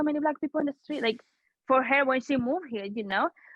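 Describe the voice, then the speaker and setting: A woman speaks in a Spanish accent. Her pitch varies in an ordinary way. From Dominican Republic, Santo Domingo. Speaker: community media co-founder. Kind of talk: podcast interview. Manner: halting.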